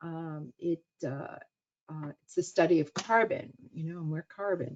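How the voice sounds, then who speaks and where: A woman with a New York accent, fairly low in pitch, at a fairly slow pace, with ordinary pitch variation and big swings in loudness. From US Northeast (Queens, New York City). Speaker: cancer researcher and professor. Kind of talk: webinar lecture. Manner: halting, many fillers.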